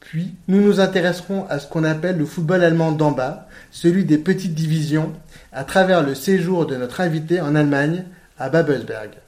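A man with a normal speaking voice, fairly high in pitch, at a moderate pace with fairly even intonation. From France. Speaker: football podcast host. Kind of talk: podcast interview.

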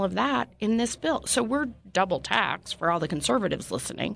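Against a quiet background, a woman speaks fairly quickly with vocal fry and very wide swings in pitch. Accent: American. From Utah. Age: 50s. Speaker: politician. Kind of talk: interview. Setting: studio.

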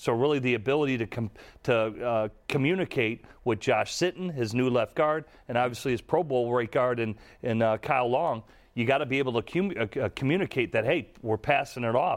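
A man with a plain, everyday voice talks at a fairly quick pace in a medium pitch, with ordinary pitch variation and very even loudness. The recording is very clean, with a silent background. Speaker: former NFL quarterback, football analyst. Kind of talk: sports podcast discussion.

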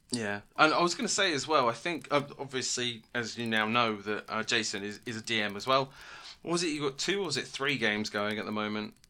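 In a British accent, a man speaks fairly quickly at a medium pitch, his bright, sharp tone carried by lively intonation. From British Isles. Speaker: podcast co-host and game master. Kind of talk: casual chat.

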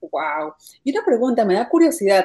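The voice has a dark, mellow tone and a moderate pace. Its pitch swings very widely. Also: woman. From Peru. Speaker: podcast host. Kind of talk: interview.

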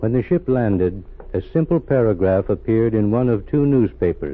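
With a normal speaking voice, a man talks at a moderate pace and medium pitch. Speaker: radio show narrator. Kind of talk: scripted dramatic narration, old-time radio. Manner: formal, measured, solemn storyteller delivery; grave, authoritative, addressing audience directly.

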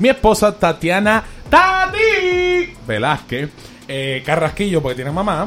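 Music plays in the background as a man speaks at a fairly slow pace. His tone is animated. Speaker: podcast host. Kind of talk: casual chat.

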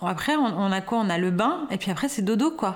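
Moving at a moderate pace, a woman speaks with lively intonation. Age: 40s. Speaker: new mother. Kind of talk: interview. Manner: halting.

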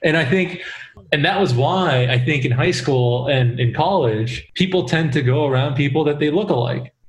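Over noticeable background noise, a man talks at a moderate pace in a fairly high pitch, with ordinary pitch variation and very even loudness. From South Korea, Seoul. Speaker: podcast guest. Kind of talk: casual chat.

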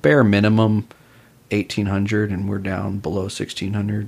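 In a calm, relaxed tone, a man talks at fairly low pitch and a moderate pace with monotone, flat intonation. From Austin, Texas. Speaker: police officer and jiu-jitsu instructor. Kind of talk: casual interview chat.

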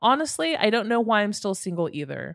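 The woman has a normal speaking voice at a medium pitch, with lively intonation. The recording is very clean, with a silent background. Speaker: podcast host. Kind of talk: true crime storytelling narration.

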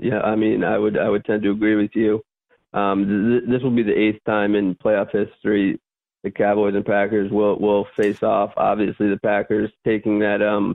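A man's fairly low voice at a moderate pace, with very even loudness and monotone, flat intonation. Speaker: football superfan. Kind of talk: casual chat. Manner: halting, many fillers.

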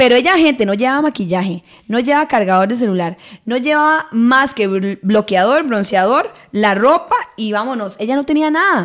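Animated in tone, a woman talks at a moderate pace with a high pitch and lively intonation. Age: 30s. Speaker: podcast host. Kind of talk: casual chat.

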